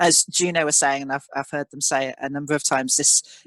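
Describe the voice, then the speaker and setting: This is a plain, everyday voice at a fairly quick pace with ordinary pitch variation. The sound is dry and close with no echo, against a quiet background. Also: man. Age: 40s. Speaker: panel speaker. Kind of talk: panel discussion. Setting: webinar video call.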